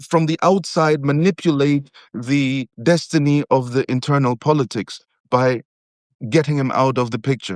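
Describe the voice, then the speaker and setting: Dry, close sound with no echo, ordinary pitch variation and a quiet background. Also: man, fairly high pitch for a man. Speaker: essayist and geopolitical analyst. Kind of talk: analytical discussion. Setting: live video stream. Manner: halting, with many fillers; slow.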